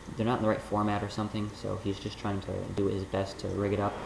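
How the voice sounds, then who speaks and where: Noticeable background noise sits behind a soft-spoken man at a moderate pace. His fairly low voice stays monotone, with flat intonation. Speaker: college student; vlogger. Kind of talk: casual talk to camera. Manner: soft-spoken, quiet. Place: home room. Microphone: webcam.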